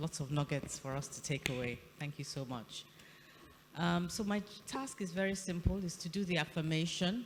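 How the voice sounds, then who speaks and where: A soft-spoken woman's fairly low voice at a moderate pace, with lively intonation. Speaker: governing council member. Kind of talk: formal address; ceremonial affirmation. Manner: formal. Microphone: too quiet for online audience.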